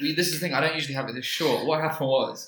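He speaks with a London accent. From East London, Leytonstone. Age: 20s. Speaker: comedian. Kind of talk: casual chat.

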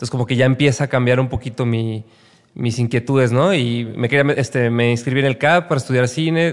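A man with a normal speaking voice keeps his medium pitch fairly even in intonation while talking fairly quickly. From Mexico, Guadalajara (Jalisco). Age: 30s. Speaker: music manager. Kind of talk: casual interview chat.

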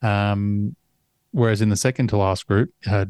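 On a very clean recording with a silent background and a dry, close sound with no echo, a man with an Australian accent speaks at a moderate pace in a fairly low pitch with a dark, mellow tone. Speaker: golf podcast co-host. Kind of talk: casual chat.

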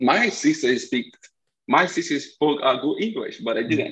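A man with a high voice speaks in a Brazilian accent. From Recife, northeastern Brazil. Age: 20s. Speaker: college soccer striker. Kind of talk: casual interview.

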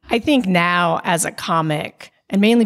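Her voice fairly low and marked by vocal fry, a woman talks at a fairly slow pace. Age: 40s. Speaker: lawyer and stand-up comedian. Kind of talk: interview conversation.

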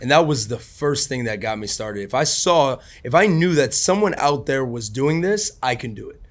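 A man with a plain, everyday voice and a fairly high pitch talks at a moderate pace with hardly any pauses, lively intonation and big swings in loudness. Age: 20s. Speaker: real estate investor. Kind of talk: interview.

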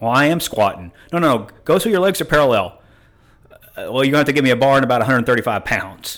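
At a very fast pace, a man with a medium pitch speaks with lively intonation. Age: 50s. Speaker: gym member. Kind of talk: interview.

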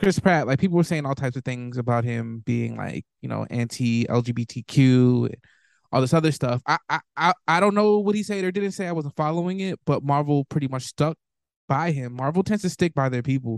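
A man with an American accent, fairly high-pitched and fairly quick, with lively intonation, a dry, close sound with no echo and a quiet background. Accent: shifts with who he talks to. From US inner city. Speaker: podcast co-host. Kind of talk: casual chat.

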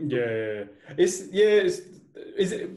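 His voice is somewhat breathy, with a dark, mellow tone, as this man speaks. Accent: British. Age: 20s. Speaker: podcast host. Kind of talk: casual interview chat.

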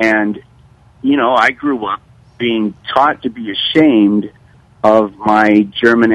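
Ordinary variation in pitch, in a plain, everyday voice. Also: man. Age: 60s. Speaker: history teacher. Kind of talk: radio discussion.

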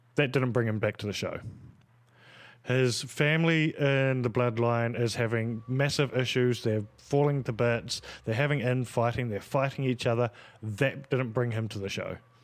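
A man with an Australian accent at a medium pitch and moderate pace, his intonation fairly even. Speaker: podcast co-host. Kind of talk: casual chat.

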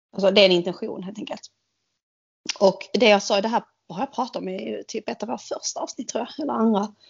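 A woman talks at a fairly quick pace with a medium pitch. Her voice is somewhat breathy, with ordinary pitch variation. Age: 40s. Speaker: podcast co-host. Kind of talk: casual chat.

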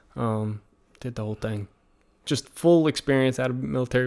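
A man talks at a fairly quick pace. He has a slight Southern US accent. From Virginia, US. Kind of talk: casual interview chat.

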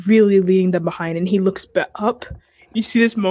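The voice is plain reading aloud, with fairly even intonation.

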